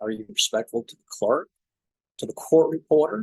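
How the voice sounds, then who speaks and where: In a strong South Georgia accent, a man speaks at a moderate pace, the sound dry and close with no echo. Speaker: trial lawyer. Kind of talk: podcast interview.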